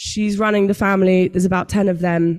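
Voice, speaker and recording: Speaking at a fairly quick pace, a woman with a British accent holds a medium pitch. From United Kingdom. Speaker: tech company founder, panelist. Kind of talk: panel talk. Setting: stage with audience.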